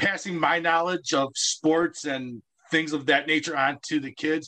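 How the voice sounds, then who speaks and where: A man's bright, sharp tone at a fairly high pitch, with an American accent, ordinary pitch variation and a fairly slow pace. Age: 40s. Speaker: special recreation coach. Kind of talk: radio interview.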